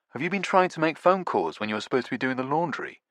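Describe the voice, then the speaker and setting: In a put-on character voice, a man whines at a very fast pace with a fairly high pitch and lively intonation over a quiet background. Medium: read story. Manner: petulant, whiny.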